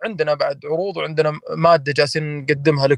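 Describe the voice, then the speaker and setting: The audio is dry and close, without any echo. A man talks at a moderate pace. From Saudi Arabia, Hafar al-Batin. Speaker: pro wrestler and wrestling federation founder. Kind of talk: casual interview chat.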